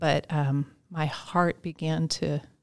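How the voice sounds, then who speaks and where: A woman with an American accent speaks at a fairly low pitch with ordinary variation, in a dry, close sound with no echo. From Upper Arlington, Ohio, US. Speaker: nonprofit executive. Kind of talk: interview. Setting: on location at arena event.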